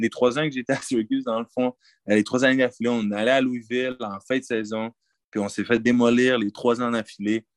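In a Quebec accent, a man speaks at a moderate pace and medium pitch with monotone, flat intonation, in a dry, close sound with no echo and a quiet background. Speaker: college football player. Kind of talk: interview. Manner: halting.

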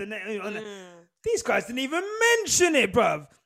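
A man speaks with a southern English accent. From southern England. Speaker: podcast host. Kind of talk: casual chat. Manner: sounds sarcastic.

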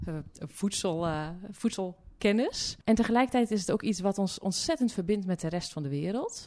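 Against a quiet background, a woman talks at a moderate pace in a medium pitch, her tone dark and mellow and her intonation lively. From Zeeuws-Vlaanderen, Netherlands (Hulst, farm). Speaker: development philosopher and journalist. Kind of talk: interview conversation. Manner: hesitant, many fillers.

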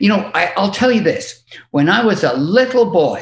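A man speaks with a British accent at a moderate pace. His pitch swings very widely. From England. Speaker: music industry manager. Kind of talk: casual chat.

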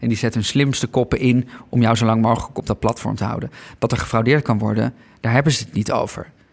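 Speaking very fast in a monotone, flat delivery, a man with vocal fry and a medium pitch comes through in a very clean recording with a silent background. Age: 30s. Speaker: documentary maker. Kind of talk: interview. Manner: halting, with many fillers and repetitions.

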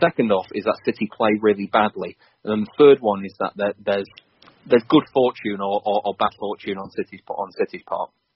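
An unremarkable speaking voice, fairly quick in pace and ordinary in pitch variation. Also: man, fairly low pitch for a man. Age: 30s. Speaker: football fan and pundit. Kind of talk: casual chat about football.

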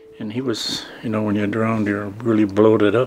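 Noticeable background noise sits behind a man speaking at a moderate pace. His fairly low voice keeps a monotone, flat intonation. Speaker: residential school survivor. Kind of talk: testimony. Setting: in a home.

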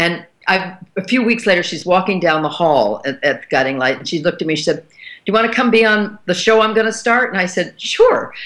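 Her pace is moderate. The woman's pitch swings very widely. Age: 70s. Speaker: actress and writer. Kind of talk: casual chat. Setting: studio.

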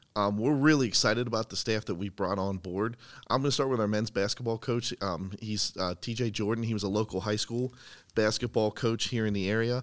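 A man with a plain, everyday voice, in an American accent, fairly low in pitch, at a fairly quick pace with fairly even intonation. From central Pennsylvania. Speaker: university athletic communications director. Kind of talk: casual interview. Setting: indoors in campus athletic facility.

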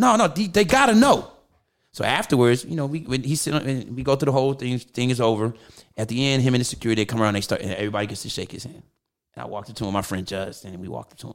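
The speaker sounds animated, with lively intonation, big swings in loudness and a very fast pace. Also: man, medium pitch for a man. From US West Coast (Los Angeles). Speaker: drummer and musician. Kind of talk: casual chat. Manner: animated, laughs a lot.

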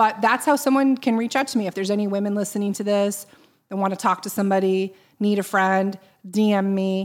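An unremarkable speaking voice from a woman at medium pitch and a fairly quick pace, on a very clean recording with a silent background. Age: 40s. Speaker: nonprofit fundraiser. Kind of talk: casual interview.

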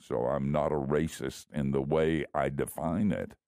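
An American-accented man speaks at a moderate pace in a very deep, low pitch. His tone is dark and mellow, with vocal fry and ordinary pitch variation. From US South, Miami. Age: old. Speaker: retired pastor, radio host. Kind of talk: casual chat.

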